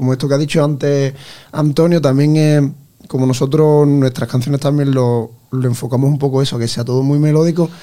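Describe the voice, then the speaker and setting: With a dark, mellow tone, a man talks at a fairly quick pace in a fairly high pitch, his intonation monotone and flat. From Ayamonte, Huelva, Spain. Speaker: singer in a band. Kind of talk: radio interview.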